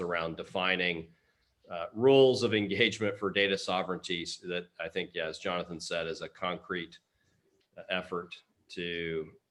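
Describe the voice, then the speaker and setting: A man talks in a Texas accent. His pace is moderate and his pitch variation ordinary. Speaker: open source foundation leader. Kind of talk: Q&A discussion.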